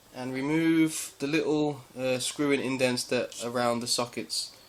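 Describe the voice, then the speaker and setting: A man mumbles with fairly even intonation and a fairly high pitch. Noticeable background noise runs under his voice. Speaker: amateur electronics repairer. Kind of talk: DIY repair tutorial. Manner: mumbling, hesitant.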